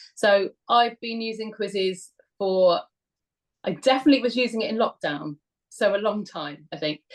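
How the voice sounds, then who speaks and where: A woman speaks with a British accent at a fairly high pitch. Her loudness swings widely. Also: lively intonation. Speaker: history teacher. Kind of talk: webinar talk. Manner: fast.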